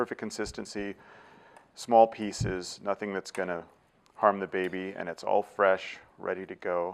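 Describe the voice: A man with a Californian accent speaks at a fairly slow pace in a low pitch, with vocal fry and little pitch movement. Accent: Californian American.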